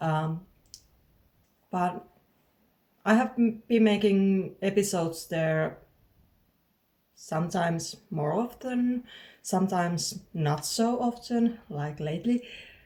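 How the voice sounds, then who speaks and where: Speaking very slowly with long, frequent pauses, a woman with a Finnish accent has a medium-pitched, somewhat breathy voice and a dark, mellow tone. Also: ordinary pitch variation. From southern Finland. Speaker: knitting podcaster. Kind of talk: casual podcast monologue. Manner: halting, with frequent fillers and word searching.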